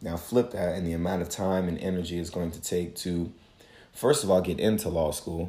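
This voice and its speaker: Very deep and low, this man's dark, mellow voice moves at a moderate pace with fairly even intonation. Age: 20s. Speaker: podcast host and life coach. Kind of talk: solo reflective monologue. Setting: home, morning routine. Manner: casual, with frequent fillers.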